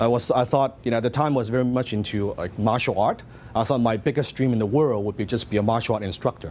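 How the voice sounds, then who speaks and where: A man's very fast speech with a Hong Kong accent over noticeable background noise. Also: medium pitch for a man. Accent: Hong Kong Chinese. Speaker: business coach. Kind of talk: motivational seminar talk. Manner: animated.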